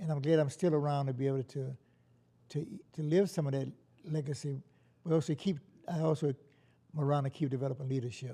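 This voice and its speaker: A man with a dark, mellow, somewhat breathy voice speaks at a fairly quick pace with fairly even intonation and long, frequent pauses. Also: fairly high pitch for a man. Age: 80s+. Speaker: anti-racism organizer. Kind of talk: interview. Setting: studio. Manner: halting.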